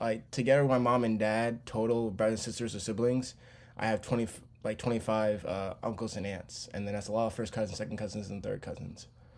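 This man talks at a fairly quick pace with fairly even intonation. He has a plain, everyday voice at a medium pitch. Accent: American. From Charlotte, North Carolina. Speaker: podcast host. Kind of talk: casual monologue.

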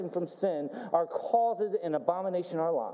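A man talks in an animated tone over noticeable background noise. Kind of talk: sermon with call-and-response. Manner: animated, exhortative, building in intensity; rhetorical questions, pauses for congregation's "amen".

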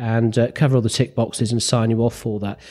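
Speaking at a fairly quick pace, a man with a northern English accent has a dark, mellow tone. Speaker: radio telephony examiner and flight instructor. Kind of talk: casual interview chat.

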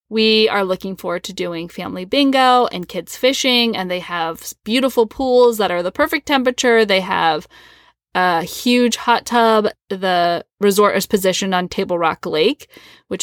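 In an ordinary speaking voice, a woman talks at a moderate pace with a medium pitch and ordinary pitch variation, the sound dry and close with no echo and the recording very clean against a silent background. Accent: American. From US Midwest. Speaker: podcast co-host. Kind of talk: casual chat. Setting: home closet.

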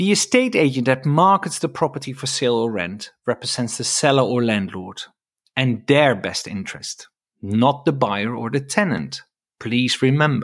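In a very clean recording with a silent background, the speaker talks at a moderate pace with a Dutch accent and lively intonation. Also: man, medium pitch for a man. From Netherlands. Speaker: estate agent. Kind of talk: solo podcast monologue.

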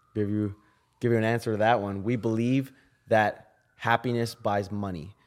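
A man speaks with a Canadian accent in a normal speaking voice at medium pitch. His intonation is fairly even and his pace moderate. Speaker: musician. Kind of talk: casual chat.

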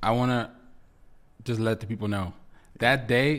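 At a moderate pace, a man with a Spanish accent talks at a medium pitch with fairly even intonation, on a very clean recording with a silent background. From Dominican Republic. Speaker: recording artist and producer. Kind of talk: casual interview chat.

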